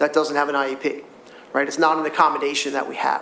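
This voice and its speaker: A man speaks over noticeable background noise. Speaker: school district administrator. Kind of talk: public meeting response. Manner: fast.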